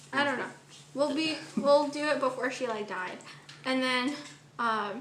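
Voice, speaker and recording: A woman with a high pitch talks at a moderate pace with ordinary pitch variation. Audible room echo and noticeable background noise surround her. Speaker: vlogger. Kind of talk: vlog talk to camera; casual chat. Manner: quiet.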